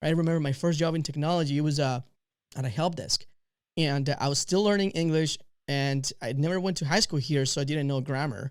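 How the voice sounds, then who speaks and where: The speaker talks at a fairly quick pace in a Spanish accent, with ordinary pitch variation. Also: man, fairly high pitch for a man. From Mexico. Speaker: podcast host. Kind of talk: interview.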